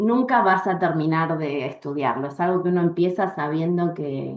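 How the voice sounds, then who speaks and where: A woman speaks at a fairly slow pace. Her pitch sits fairly low. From Argentina, Bariloche (Patagonia). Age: 40s. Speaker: astrologer and astrology teacher. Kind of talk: interview.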